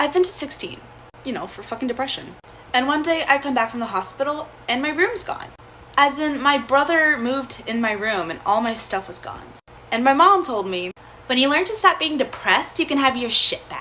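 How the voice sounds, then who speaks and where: Over noticeable background noise, a woman speaks in a raised, projected voice at a high pitch and moderate pace, with very wide pitch swings and big swings in loudness. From Louisiana. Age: 20s. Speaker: social media storyteller. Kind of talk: personal storytelling to camera. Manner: casual, animated.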